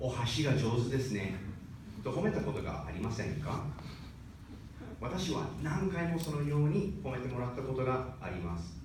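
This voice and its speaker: Very wide pitch swings from a man of medium pitch at a moderate pace, with noticeable background noise. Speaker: speech contest participant. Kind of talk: speech contest address. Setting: stage, live audience.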